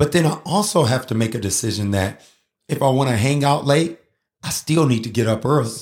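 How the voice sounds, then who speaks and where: A man with a medium pitch and a somewhat breathy voice speaks at a fairly quick pace, animated in tone with lively intonation, in a very clean recording with a silent background. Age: 40s. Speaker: podcast host and emcee. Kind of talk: motivational casual talk.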